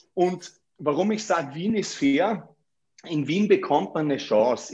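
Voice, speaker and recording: High-pitched male voice, ordinary pitch variation, quiet background. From Austria, Vorarlberg. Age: 30s. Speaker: real estate agent. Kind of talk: interview. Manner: hesitant, many fillers and repetitions.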